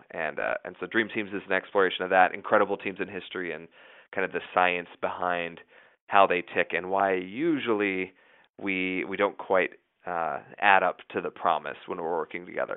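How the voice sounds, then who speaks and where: Fairly quick and fairly even in intonation, a man speaks with a very deep, low pitch. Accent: American. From US West, southeast Idaho. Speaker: journalist and author. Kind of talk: interview.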